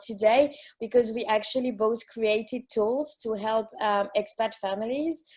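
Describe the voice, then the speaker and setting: A woman with a French accent speaks in a fairly high voice at a moderate pace. Her intonation stays fairly even. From France. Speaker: expat coach. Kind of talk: casual chat. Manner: halting.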